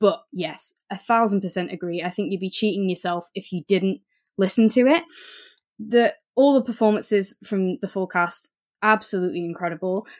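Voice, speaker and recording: On a very clean recording with a silent background, a woman with an unremarkable speaking voice uses a medium pitch, ordinary pitch variation and a moderate pace. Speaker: podcast co-host. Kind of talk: casual chat.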